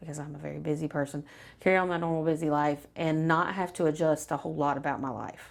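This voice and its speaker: A woman with an American accent, very deep, low pitch, monotone, flat intonation and a fairly quick pace, on a very clean recording with a silent background. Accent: Southern, stronger on camera than she thinks. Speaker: weight loss client. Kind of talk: testimonial interview. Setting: filmed interview on camera.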